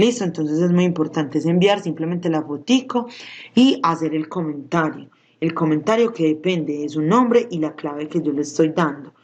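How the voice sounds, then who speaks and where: A woman's plain, everyday voice at a fairly low pitch, lively in intonation and moderate in pace. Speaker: school science teacher. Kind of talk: recorded video lesson.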